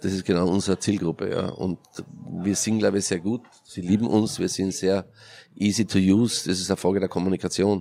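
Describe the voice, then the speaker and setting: Speaking fairly quickly with a Carinthian accent, a man uses a very deep, low pitch, a dark, mellow tone and fairly even intonation. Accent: Austrian German, Carinthian. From Austria, Carinthia. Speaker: entrepreneur and event organiser. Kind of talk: interview.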